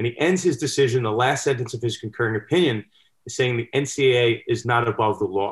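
An American-accented man talks at a very fast pace, his voice somewhat breathy and medium in pitch. Pitch variation is ordinary, and the recording is very clean with a silent background. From New York, Westchester County. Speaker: sports law commentator and litigator. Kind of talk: casual chat.

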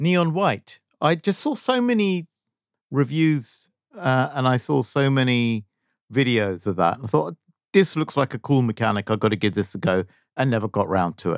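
It is an ordinary speaking voice, a man talking at a moderate pace with lively intonation. The recording is very clean, with a silent background and a dry, close sound with no echo. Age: 50s. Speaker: video game podcast co-host. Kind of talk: casual chat.

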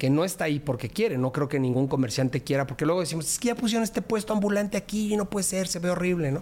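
Very fast and with hardly any pauses, a man speaks in a Mexico City accent at a high pitch, his intonation lively. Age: 40s. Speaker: politician. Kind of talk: interview.

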